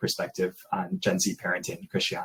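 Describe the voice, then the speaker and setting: Lively intonation with a Midwestern accent. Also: man. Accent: American Midwest. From US, Detroit. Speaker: interviewer. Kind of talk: interview.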